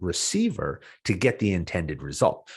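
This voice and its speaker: Against a quiet background, a man with an American accent speaks in a very deep, low pitch with a passionate, animated tone. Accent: Boston accent, comes out when stressed. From Boston, US. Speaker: business leadership podcaster. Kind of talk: podcast interview. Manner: loud, passionate; fast, animated with many fillers.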